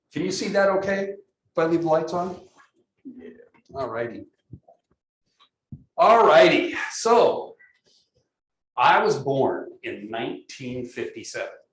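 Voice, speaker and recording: Long, frequent pauses break up a man's fairly slow speech in an American accent. His loudness swings widely, and room echo is audible. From California. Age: 60s. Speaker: professor. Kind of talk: lecture. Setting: classroom. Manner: halting, many fillers and repeated words.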